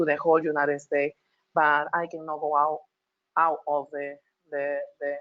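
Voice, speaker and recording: This woman's pitch is very deep and low, her intonation monotone and flat. She keeps a moderate pace. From Peru. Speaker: transgender health advocate on expert panel. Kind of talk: panel discussion testimony. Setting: webinar video call. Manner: halting, many repetitions.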